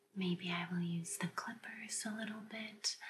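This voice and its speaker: Over noticeable background noise, a soft-spoken woman with a fairly low pitch talks at a very slow pace with fairly even intonation. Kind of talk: ASMR role-play, soft-spoken. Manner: soft, hushed ASMR stylist voice.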